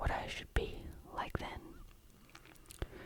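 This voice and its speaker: The speech is whispered. Noticeable background noise sits behind it. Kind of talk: ASMR whispered bedtime reading.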